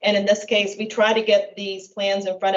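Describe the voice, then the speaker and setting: A woman's plain, everyday voice at a medium pitch and fairly quick pace. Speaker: city planning staff presenting to council. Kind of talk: council meeting staff report.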